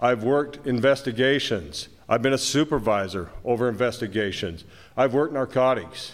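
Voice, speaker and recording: A man with an American accent and a medium pitch talks at a moderate pace with ordinary pitch variation in a plain, everyday voice, on a very clean recording with a silent background. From Moab, Utah. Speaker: sheriff candidate, longtime deputy. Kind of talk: debate. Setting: stage with audience.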